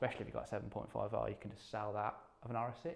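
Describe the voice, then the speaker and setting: A man talks at a very fast pace in a fairly low pitch with vocal fry, and the room echo is audible. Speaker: competition draw host. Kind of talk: live stream presentation.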